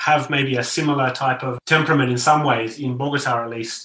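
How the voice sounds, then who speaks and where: A man speaks fairly quickly in an Australian accent, his pitch fairly high and his intonation monotone and flat. Noticeable background noise runs beneath him. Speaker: novelist. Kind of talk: interview conversation.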